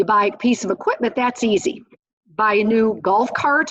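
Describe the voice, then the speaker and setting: A woman with an American accent and a fairly high pitch talks at a moderate pace. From US Midwest, Wisconsin. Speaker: accountant presenting the budget. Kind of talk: educational presentation.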